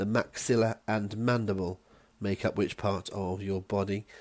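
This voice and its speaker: This man speaks with a West Country accent. His pitch is fairly low. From West Country, England. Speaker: quiz host. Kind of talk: scripted quiz presentation.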